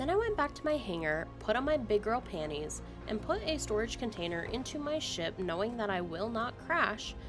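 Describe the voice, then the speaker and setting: A woman with an upbeat tone at a moderate pace, music in the background. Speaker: gaming content creator. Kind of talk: gameplay narration voice-over. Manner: casual, upbeat.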